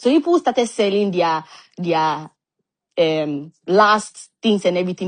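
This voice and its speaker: A woman's lively intonation comes through against a quiet background. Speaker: former church member. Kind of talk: testimony. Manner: fast.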